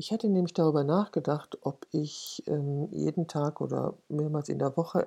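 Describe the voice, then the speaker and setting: Woman at a moderate pace, very deep and low in pitch for a woman, against a quiet background. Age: 60s. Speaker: podcaster and portrait photographer. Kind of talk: personal monologue.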